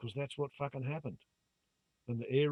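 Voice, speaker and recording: A man with an Australian accent. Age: 60s. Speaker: YouTuber. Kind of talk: monologue to camera. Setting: phone camera recording. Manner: animated. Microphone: phone camera mic, low volume.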